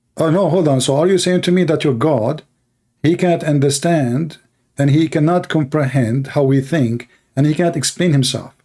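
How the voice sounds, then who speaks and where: A man with an Arabic accent has a dark, mellow tone at a fairly high pitch. He keeps a moderate pace, very even loudness and ordinary pitch variation. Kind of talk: heated debate. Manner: animated; halting.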